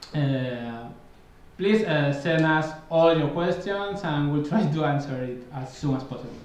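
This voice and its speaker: Amid noticeable background noise and audible room echo, a man speaks fairly slowly at a fairly high pitch. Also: ordinary pitch variation. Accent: Spanish. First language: Spanish. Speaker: game director. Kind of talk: live gameplay stream. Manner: halting.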